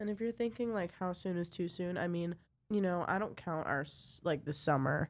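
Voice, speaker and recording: At a moderate pace, a woman with a fairly low pitch speaks in a very clean recording with a silent background. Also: ordinary pitch variation. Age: 20s. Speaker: podcast co-host. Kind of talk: casual chat.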